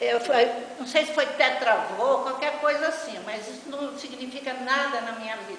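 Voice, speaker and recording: Noticeable background noise and audible room echo surround a woman's voice. She speaks at a high pitch and a fairly slow pace, with ordinary pitch variation. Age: 80s+. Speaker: senior workshop participant. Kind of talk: personal testimony.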